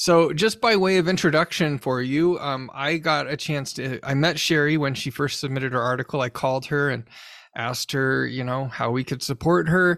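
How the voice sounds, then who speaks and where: With an ordinary speaking voice, a man talks at a moderate pace, his fairly high pitch showing ordinary variation. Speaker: podcast host and journal editor. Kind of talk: interview podcast.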